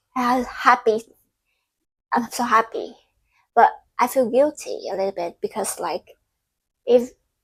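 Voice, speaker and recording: A woman with a non-native accent speaks at a fairly slow pace in a high voice, with very wide pitch swings and long, frequent pauses. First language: Vietnamese. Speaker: content creator. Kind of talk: casual vlog monologue. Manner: halting.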